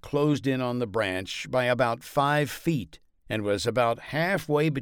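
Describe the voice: Ordinary pitch variation in plain reading aloud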